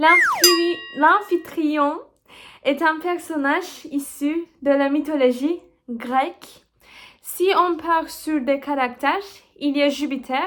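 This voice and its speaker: Music plays in the background as someone with a Turkish accent speaks very slowly, with ordinary pitch variation. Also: woman. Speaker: literature student, video creator. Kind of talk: casual vlog intro then study revision talk. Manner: halting with self-corrections.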